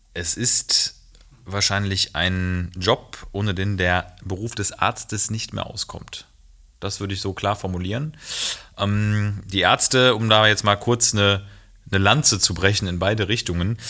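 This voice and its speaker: In an unremarkable speaking voice, a man with fairly low pitch talks at a fairly slow pace with fairly even intonation. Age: 30s. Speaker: doctor. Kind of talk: casual chat.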